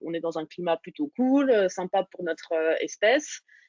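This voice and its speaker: Talking fairly slowly, this woman has an unremarkable speaking voice. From Burgundy, France (Dijon). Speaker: startup founder. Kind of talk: interview.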